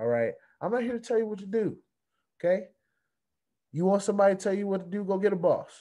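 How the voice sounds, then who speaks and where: A man's dark, mellow voice against a quiet background. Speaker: crypto YouTuber. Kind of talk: casual vlog rant. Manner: fired-up, emphatic. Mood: irritated, defiant. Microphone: webcam.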